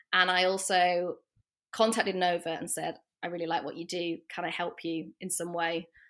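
A woman speaks with a northern English accent on a very clean recording with a silent background. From northern England. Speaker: portrait photographer. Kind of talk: casual interview chat.

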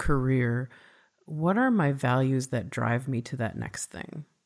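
A woman with a Midwestern accent at a moderate pace, her pitch swinging very widely. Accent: Midwest US. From Minnesota, US Midwest. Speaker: podcast host. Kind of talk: casual interview conversation.

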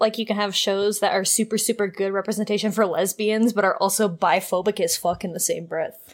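A woman at a medium pitch and a fairly quick pace, with monotone, flat intonation and hardly any pauses, on a very clean recording with a silent background. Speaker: podcast co-host. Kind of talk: casual chat. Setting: far from the mic. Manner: stutter.

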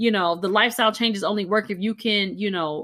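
An animated woman speaks at a fairly quick pace in a medium pitch, her tone bright and sharp. The recording is very clean, with a silent background. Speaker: physician podcast host. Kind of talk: casual chat. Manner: loud, animated.

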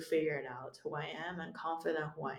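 Speaking at a moderate pace, a woman uses a fairly low pitch with ordinary pitch variation. She has a Chinese accent. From China. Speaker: stand-up comedian. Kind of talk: casual interview. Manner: animated, laughs often.

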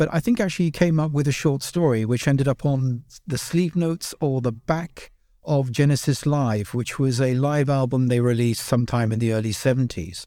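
In a British accent, a man speaks at a moderate pace with a medium pitch and a dark, mellow tone. Pitch variation is ordinary, and the recording is very clean with a silent background. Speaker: podcast host and band member. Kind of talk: casual chat.

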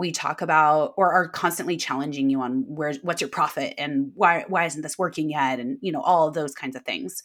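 A woman with an American accent speaks at a very deep, low pitch and a moderate pace, with ordinary pitch variation. She leaves hardly any pauses, and the recording is very clean with a silent background. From Davis, near Sacramento, California. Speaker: wedding planner and coach. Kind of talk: interview conversation.

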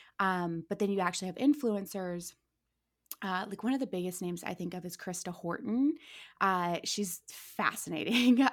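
A woman with a normal speaking voice talks at a moderate pace and medium pitch, using lively intonation. The recording is very clean, with a silent background. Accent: American. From Ohio, US Midwest. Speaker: entertainment industry worker and social media creator. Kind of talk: casual chat.

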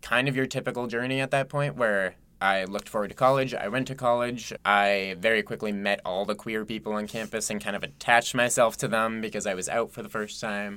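A man with an American accent talks at medium pitch and a fairly quick pace, his tone bright and sharp. His pitch varies in an ordinary way, and the recording is very clean with a silent background. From Massachusetts. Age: 20s. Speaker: podcast co-host and bartender. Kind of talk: casual conversation. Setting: recording studio booth.

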